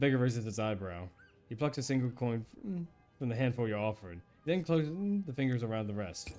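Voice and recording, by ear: Reading aloud in a natural voice with lively intonation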